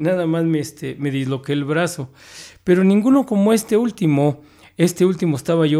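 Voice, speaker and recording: This man's voice sits at a high pitch and has a dark, mellow tone. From Mexico City (Iztacalco). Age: 50s. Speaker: writer. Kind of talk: casual interview. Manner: halting, frequent repetitions.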